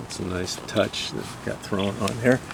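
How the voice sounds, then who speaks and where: A man talks at a fairly slow pace with fairly even intonation. Noticeable background noise runs behind him. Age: 70s. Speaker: motorcycle owner / vlogger. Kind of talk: casual video walkaround. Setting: outdoors. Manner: halting.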